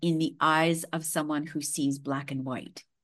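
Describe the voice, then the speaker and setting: In a Western Canadian accent, the speaker talks at a fairly slow pace with monotone, flat intonation. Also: woman, quiet background. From Canadian prairies, Saskatchewan. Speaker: holistic healer. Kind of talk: interview conversation.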